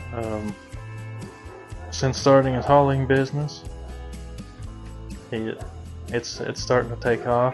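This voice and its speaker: Music plays in the background as a man speaks at medium pitch. His pace is fairly slow, with long, frequent pauses. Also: ordinary pitch variation. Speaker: cattle hauler. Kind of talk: interview answer.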